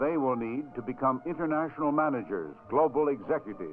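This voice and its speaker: Male speaker at a moderate pace with ordinary pitch variation, music in the background. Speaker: newsreel-style narrator and host. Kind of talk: promotional film narration, newsreel style.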